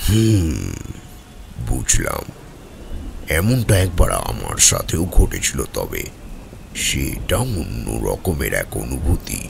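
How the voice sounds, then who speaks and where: A man uses a put-on character voice at a fairly slow pace. Clear background noise is present. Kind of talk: audio drama dialogue.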